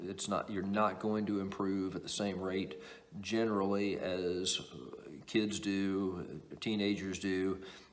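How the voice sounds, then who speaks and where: Fairly even intonation at a very slow pace, with audible room echo. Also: man, fairly low pitch for a man. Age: 60s. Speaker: table tennis coach. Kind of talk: tutorial. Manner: halting.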